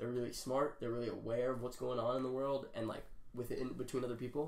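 A man talks at a very fast pace with audible room echo. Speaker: podcast host. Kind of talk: casual chat. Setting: in-person video recording. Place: home room. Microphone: camera far.

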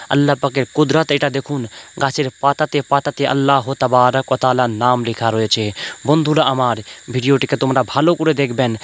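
Medium-pitched male voice, monotone and flat in intonation, very even in loudness, with a dry, close sound and no echo. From West Bengal, Paschim Medinipur. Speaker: Islamic preacher and poet. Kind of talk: religious sermon-style address to viewers.

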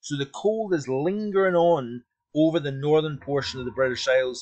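At a moderate pace, a man talks in an ordinary speaking voice, fairly high in pitch with ordinary pitch variation. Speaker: weather forecaster. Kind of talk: weather report, explanatory forecast commentary over charts. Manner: measured, conversational, explanatory with hedging fillers.

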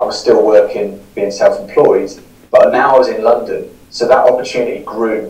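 Speaking at a moderate pace in a southern English accent, a man is heard with audible room echo. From southern England (Newbury, Berkshire); southern England. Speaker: podcaster and recovering gambling addict; interview guest. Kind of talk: interview, personal story. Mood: reflective, candid. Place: home room.

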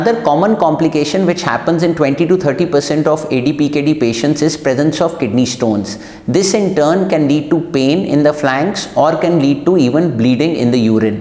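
Amid audible room echo, a man speaks at a moderate pace with hardly any pauses, very even loudness and ordinary pitch variation. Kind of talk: medical explainer to camera. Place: studio.

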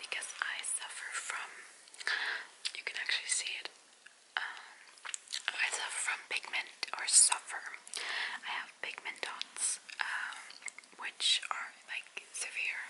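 A soft-spoken woman whispers at a very slow pace, with long, frequent pauses. Noticeable background noise is present. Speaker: vlogger. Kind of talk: casual vlog chat. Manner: soft close whisper while chewing gum. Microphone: phone near.

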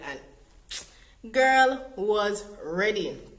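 A woman talks in a Jamaican accent. Her fairly high voice sounds upbeat and animated. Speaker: vlogger. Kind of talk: casual storytime talk to camera. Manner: upbeat, animated. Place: home room.

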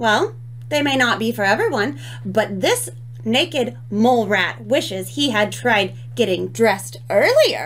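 Intonation here is lively. The speaker uses an unforced reading voice.

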